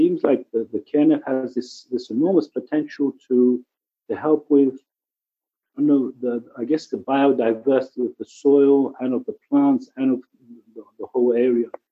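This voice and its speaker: A man at medium pitch speaks at a moderate pace with fairly even intonation but big swings in loudness. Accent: English. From England. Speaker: ecology center director. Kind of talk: casual interview chat.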